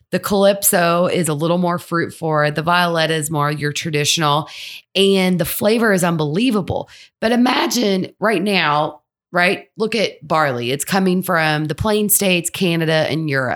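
A woman with a Kentucky accent speaks at a moderate pace in a fairly low pitch with ordinary pitch variation, on a very clean recording with a silent background. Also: very even loudness. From southern Kentucky, Monticello. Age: 40s. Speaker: whiskey blender. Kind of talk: casual chat. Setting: distillery.

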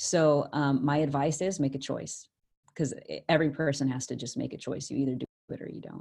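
A woman with an American accent speaks in a very deep, low pitch with vocal fry and a dark, mellow tone. Her pace is fairly quick, her intonation fairly even, and her loudness swings widely. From US Southwest, Roswell, New Mexico. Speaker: musician and music business coach. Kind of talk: interview.

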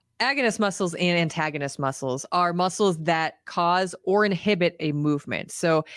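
Against a quiet background, a woman with a normal speaking voice talks at a moderate pace, her pitch fairly low with ordinary pitch variation, in a dry, close sound with no echo. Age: 30s. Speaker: fitness podcast co-host. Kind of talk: casual chat.

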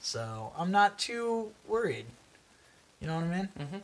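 Somewhat breathy, a man speaks with an American accent and lively intonation. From New York. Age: 20s. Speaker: podcast guest. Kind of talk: casual chat.

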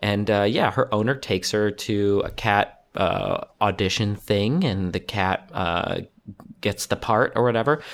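On a very clean recording with a silent background, a man with an ordinary speaking voice talks at a fairly slow pace and fairly low pitch, with ordinary pitch variation. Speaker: podcast co-host. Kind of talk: casual chat, comedic banter.

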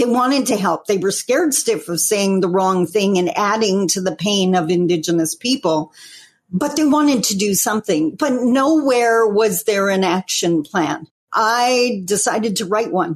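In an ordinary speaking voice with a Canadian accent, a woman of medium pitch speaks at a moderate pace with lively intonation and very even loudness. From Northern Ontario, Canada. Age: 50s. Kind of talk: interview.

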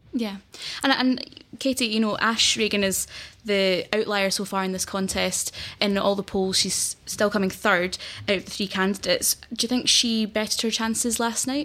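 With a Glaswegian accent, a woman speaks at medium pitch and a moderate pace. Her intonation is fairly even. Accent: Glaswegian Scottish. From Glasgow, Scotland.

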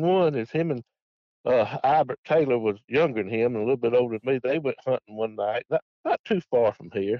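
A man with a Southern US accent, medium pitch, ordinary pitch variation and a moderate pace. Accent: Southern US (Georgia). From US South, Georgia. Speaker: retired state trooper and coon hunter. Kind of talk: casual interview chat.

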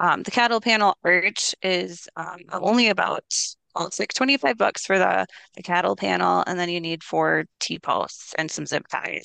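With an American accent, a woman talks at a moderate pace in a fairly low, bright, sharp voice with vocal fry, the sound dry and close with no echo over a quiet background. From Minnesota, Minneapolis. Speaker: cookbook author and homesteader. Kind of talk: interview.

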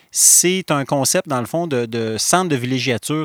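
With an unremarkable speaking voice, a man talks at a fairly slow pace and medium pitch, his pitch varying in an ordinary way, the sound dry and close with no echo. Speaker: podcast host, outdoor columnist. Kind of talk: podcast conversation. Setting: outdoor studio.

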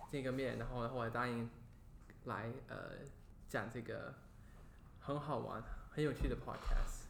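Over noticeable background noise and audible room echo, a man with an English accent talks at a moderate pace in a monotone, flat intonation. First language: English (speaking Chinese). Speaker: university student learning Chinese. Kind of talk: casual interview. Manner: halting.

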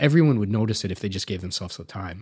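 A somewhat breathy man with a fairly low pitch and a Canadian accent, on a very clean recording with a silent background. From Canada, Indian heritage. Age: 40s. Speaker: podcast host, musician. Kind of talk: casual chat.

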